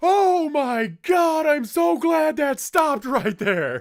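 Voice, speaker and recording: In a put-on character voice, a man speaks very slowly at an extremely high pitch, in a very clean recording with a silent background. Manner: hearty, laughing.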